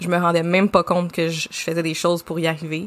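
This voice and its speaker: A woman with a Quebec accent, fairly low pitch and a fairly quick pace. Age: 30s. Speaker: podcast co-host, branding agency founder. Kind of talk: casual chat.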